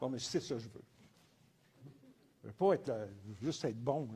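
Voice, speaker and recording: With a Quebec accent, a man talks at a fairly quick pace, somewhat breathy, with lively intonation. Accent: Québécois French. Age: 70s. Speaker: entrepreneur and business professor. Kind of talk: testimony. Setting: conference talk with audience.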